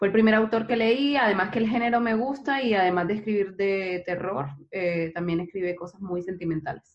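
This woman has an ordinary speaking voice at a medium pitch. Her pitch varies in an ordinary way. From Barranquilla, Colombia. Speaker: software engineer. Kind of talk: casual chat.

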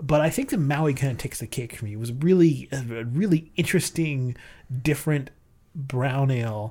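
The voice has a dark, mellow tone, is somewhat breathy, and moves at a fairly quick pace. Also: man, fairly high pitch for a man, ordinary pitch variation, very clean recording, silent background. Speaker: beer podcast host. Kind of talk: casual chat, beer tasting.

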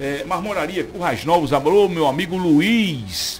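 With lively intonation and a moderate pace, a man speaks against noticeable background noise. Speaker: radio host. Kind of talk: morning radio show.

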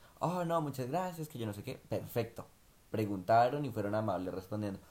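He speaks at a fairly quick pace. The man has an unremarkable speaking voice. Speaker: podcast co-host, migrant worker. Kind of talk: casual chat.

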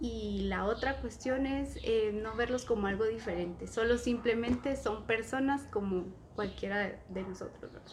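A woman speaks at a fairly slow pace with hardly any pauses, over noticeable background noise and audible room echo. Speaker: inclusive educator. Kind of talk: casual chat. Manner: loud.

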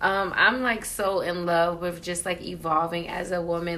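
A woman speaks at a fairly slow pace in a fairly low pitch. Her tone is bright and sharp, with audible room echo. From Queens, New York and New Jersey. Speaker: podcast co-host. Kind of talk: casual chat.

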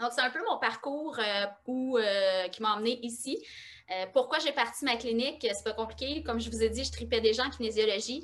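A woman with a Quebec accent speaks at a moderate pace with long, frequent pauses, her fairly high pitch showing ordinary variation and some vocal fry. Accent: Québécois French. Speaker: osteopath and kinesiologist. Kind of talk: interview.

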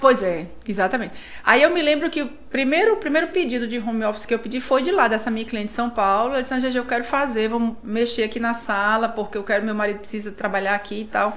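Room echo and noticeable background noise are audible as a woman talks at a very fast pace. Her voice is fairly high, with ordinary pitch variation. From northern Brazil (Tucuruí, Pará). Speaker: architect. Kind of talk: casual interview.

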